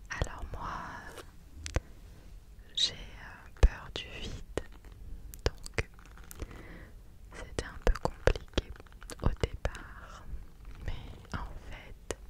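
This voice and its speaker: Whispering at a very slow pace, a woman leaves long pauses again and again. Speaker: ASMR creator. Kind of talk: ASMR chat, telling about her holidays. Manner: whispered, soft-spoken. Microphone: studio mic.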